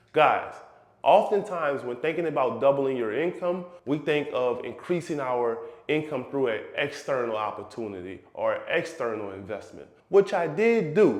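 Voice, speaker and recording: A man with a fairly high pitch talks at a moderate pace, swinging very widely in pitch. Noticeable background noise and audible room echo fill the recording. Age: 30s. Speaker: real estate investor and finance YouTuber. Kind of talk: personal finance vlog.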